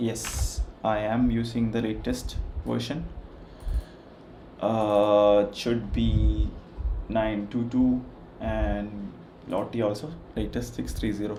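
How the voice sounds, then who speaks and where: In a room with audible echo, a man with an Indian accent talks at a very slow pace, leaving long, frequent pauses. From India, Kerala. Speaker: software developer. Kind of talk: live coding stream. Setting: livestream with background music.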